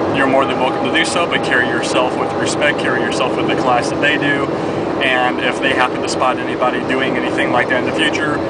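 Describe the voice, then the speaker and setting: A man talks at a very fast pace in a dry, echo-free sound over loud background noise. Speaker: sports fan vlogger. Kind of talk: casual talk to camera, sports commentary vlog. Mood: upbeat, reflective. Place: car. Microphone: phone near.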